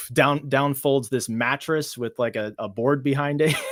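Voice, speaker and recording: A man with an American accent speaks at a moderate pace in a medium pitch, his intonation flat and monotone. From United States. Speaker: author and illustrator. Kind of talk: casual interview. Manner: halting, many fillers and restarts.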